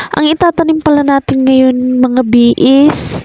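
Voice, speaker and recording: A woman's high voice, very slow and fairly even in intonation, in a dry, close sound with no echo. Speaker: vlogger. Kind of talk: casual vlog narration. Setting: farm.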